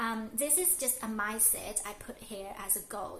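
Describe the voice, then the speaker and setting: A woman with a fairly high pitch speaks at a fairly slow pace amid audible room echo and noticeable background noise. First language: not English. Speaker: lifestyle vlogger. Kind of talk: casual vlog monologue. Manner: halting, many fillers.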